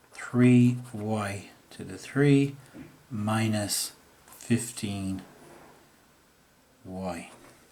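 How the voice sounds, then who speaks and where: In audible room echo, a man speaks at a very slow pace with long, frequent pauses. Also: fairly low pitch for a man, ordinary pitch variation. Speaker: maths teacher. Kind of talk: tutorial.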